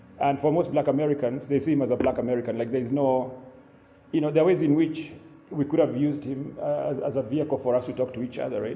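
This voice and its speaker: The man's voice sits fairly high and his intonation stays fairly even. He gets through his words at a very fast pace. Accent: Kenyan. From Kenya (Limuru). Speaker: writer and academic. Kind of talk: keynote lecture. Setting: live event with audience, low-quality recording.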